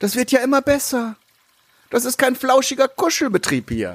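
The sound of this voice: Using a put-on character voice, a man talks at a moderate pace in an extremely high, fairly bright voice with a slightly husky edge and very wide pitch swings.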